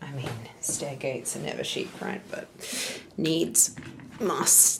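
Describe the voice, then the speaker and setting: A woman talks at a very slow pace while noticeable background noise is heard behind her. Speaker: lifestyle vlogger. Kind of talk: casual vlog chat and house tour. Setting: at home.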